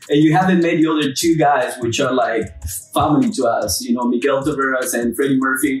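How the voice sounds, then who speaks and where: Fairly quick speech in a Peruvian accent with ordinary pitch variation, music in the background. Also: man, fairly high pitch for a man. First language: Spanish. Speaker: roofing company co-owner. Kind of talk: casual chat. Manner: animated.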